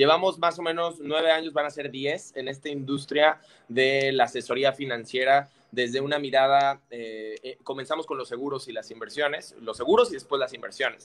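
A man's fairly high-pitched, ordinary speaking voice at a moderate pace, with fairly even intonation and big swings in loudness. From Mexico. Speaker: financial advisor. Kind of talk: casual chat.

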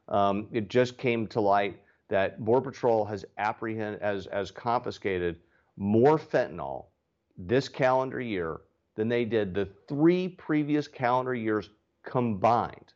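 A man speaks in a Texan accent. His intonation is lively. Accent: Texan American. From Texas (Dallas). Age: 40s. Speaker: congressman, Marine veteran. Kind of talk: interview.

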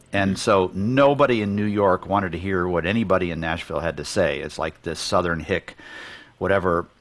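A man with an American accent and a very deep, low voice talks at a fairly quick pace with ordinary pitch variation. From US Midwest, Detroit area, Michigan. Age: 60s. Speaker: business consultant for creative firms. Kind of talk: interview conversation.

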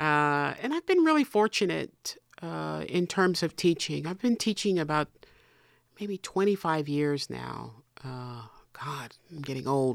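At a very slow pace, a woman speaks with big swings in loudness. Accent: American. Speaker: painter and art professor. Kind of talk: interview.

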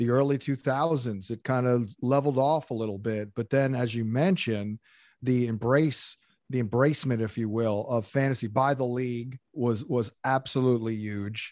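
A man uses a plain, everyday voice at a medium pitch. He keeps a moderate pace against a quiet background. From southern New Jersey. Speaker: fantasy football analyst. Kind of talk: interview.

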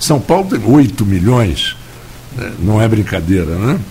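A man talks at a moderate pace with a fairly low pitch. His intonation is lively over noticeable background noise. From Rio de Janeiro, Tijuca. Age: 70s. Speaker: radio host. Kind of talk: radio interview. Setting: radio studio. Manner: halting, many fillers.

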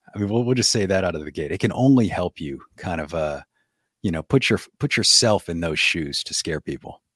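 A man with very deep, low pitch and a New Orleans accent, lively intonation at a fairly quick pace, dry and close with no echo, in a very clean recording with a silent background. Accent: New Orleans Southern US. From US South, New Orleans. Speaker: podcast host, ghost storyteller. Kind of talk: casual interview.

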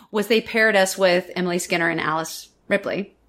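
This woman has a normal speaking voice at a medium pitch. She talks at a fairly quick pace. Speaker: stage actor and director. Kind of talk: interview anecdote.

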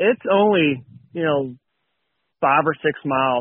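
A man with an Appalachian accent talks at a fairly slow pace. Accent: Appalachian American. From West Virginia. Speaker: power plant technician and hunter. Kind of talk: casual interview chat.

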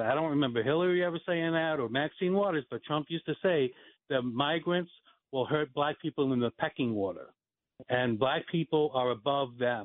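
Using a plain, everyday voice, a man with an American accent talks at a fairly quick pace with a fairly high pitch and lively intonation. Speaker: caller. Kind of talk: casual chat. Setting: phone call.

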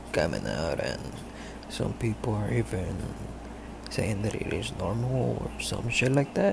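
A man talks at a very slow pace. Noticeable background noise runs behind him. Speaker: listener calling in. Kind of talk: voicemail message.

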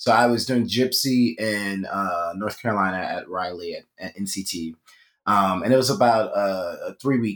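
On a very clean recording with a silent background, a man with an American accent and an unremarkable speaking voice talks at a fairly low pitch with ordinary pitch variation. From Philadelphia. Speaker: Broadway performer. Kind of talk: casual interview.

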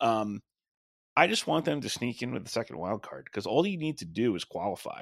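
A man with an American accent, medium pitch, very wide pitch swings and a fairly quick pace. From Long Island, New York (Suffolk County). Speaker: wrestling podcaster and former sportswriter. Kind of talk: casual chat.

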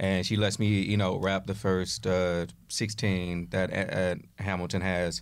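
Speaking with an American accent, a man uses a very deep, low pitch at a fairly slow pace, with ordinary pitch variation and very even loudness. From US West Coast, Oakland, California. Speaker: actor. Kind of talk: casual chat. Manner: halting.

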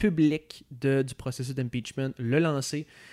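A man talks in an unremarkable speaking voice at a medium pitch with fairly even intonation. The recording is very clean with a silent background, dry and close with no echo. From Quebec City, Quebec. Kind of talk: casual political chat.

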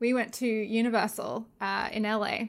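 A woman's fairly high voice with an Australian accent in a very clean recording with a silent background. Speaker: podcast guest, movie fan. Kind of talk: casual chat.

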